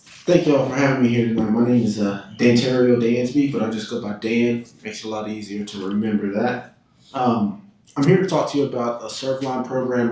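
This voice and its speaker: In a Southern accent, a man speaks at a fairly quick pace and medium pitch with ordinary pitch variation, over noticeable background noise and audible room echo. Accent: Southern, less twang than Louisiana. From Tennessee, Chattanooga. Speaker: insurance program sales representative. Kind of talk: public presentation to city council. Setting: council chamber. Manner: hesitant, many fillers and repetitions.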